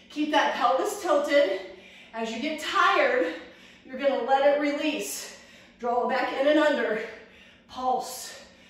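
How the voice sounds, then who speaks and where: The speaker talks at a fairly slow pace with ordinary pitch variation. Strong room echo fills the recording. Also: woman. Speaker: fitness instructor. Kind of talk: workout instruction. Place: gym. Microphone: camera far.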